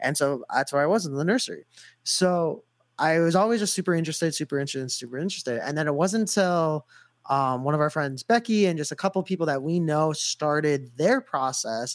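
Recorded very cleanly against a silent background, a man with a normal speaking voice and fairly high pitch uses ordinary pitch variation, the sound dry and close with no echo. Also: fairly quick pace. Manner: casual, filler-heavy.

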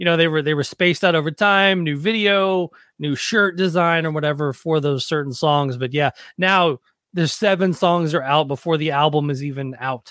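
A man with an American accent speaks at a moderate pace in a fairly high pitch, with ordinary pitch variation and a plain, everyday voice, on a very clean recording with a silent background. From US South, Nashville. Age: 40s. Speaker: podcast host, former touring musician. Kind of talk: casual chat and interview.

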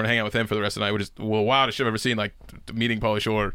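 The tone is bright and sharp. It belongs to a man with an American accent. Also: very clean recording, silent background. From Pittsburgh, US. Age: 20s. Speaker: stand-up comedian. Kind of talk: casual chat.

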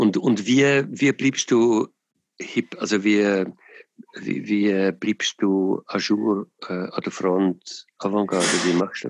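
A man talks at a very slow pace and a fairly low pitch. The sound is dry and close, with no echo. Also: ordinary pitch variation. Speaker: podcast host. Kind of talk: casual chat. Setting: phone call.

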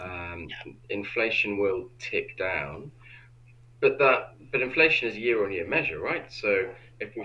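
A man with a British accent. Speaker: financial planner. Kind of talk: interview.

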